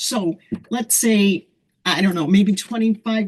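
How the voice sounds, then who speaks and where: Her tone is dark and mellow. This woman sounds somewhat breathy. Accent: American. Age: 70s. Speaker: holistic weight loss practitioner. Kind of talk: panel discussion on video call.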